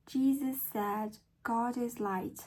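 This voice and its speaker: A woman with an American accent speaks very slowly in a fairly high, somewhat breathy voice. Her intonation stays fairly even. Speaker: English learner practicing accent. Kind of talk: reading aloud. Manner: deliberate, careful pronunciation.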